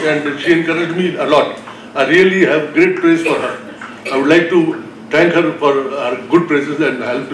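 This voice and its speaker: A man with an Indian accent and high pitch speaks at a moderate pace, with audible room echo and light background noise. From North India. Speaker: heart transplant patient. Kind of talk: personal testimony. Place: hall. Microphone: podium.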